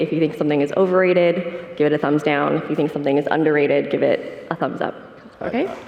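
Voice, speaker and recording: A woman talks at a very fast pace with fairly even intonation. Noticeable background noise is present. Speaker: panel moderator. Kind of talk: conference panel moderation. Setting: conference stage with audience. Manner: soft-spoken.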